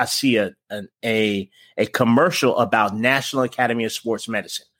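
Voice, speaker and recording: In a very clean recording with a silent background and a dry, close sound with no echo, a man has an ordinary speaking voice at a medium pitch, with fairly even intonation at a moderate pace. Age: 40s. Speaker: fitness coach. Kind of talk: casual interview.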